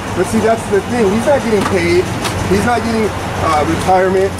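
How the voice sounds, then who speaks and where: This man's words race out very quickly against loud noise in the background. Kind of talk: angry confrontational rant. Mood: angry, contemptuous. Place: street. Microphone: phone near.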